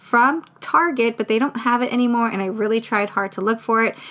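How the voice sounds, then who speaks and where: She talks at a fairly quick pace. Her pitch is fairly high for a woman, with ordinary pitch variation. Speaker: craft vlogger. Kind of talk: casual tutorial. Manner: fast.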